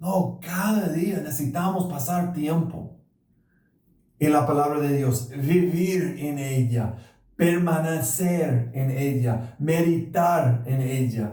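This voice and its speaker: Audible room echo surrounds a somewhat breathy voice with a dark, mellow tone, moving at a very slow pace. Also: man, fairly high pitch for a man, ordinary pitch variation. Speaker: pastor. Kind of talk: sermon. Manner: halting.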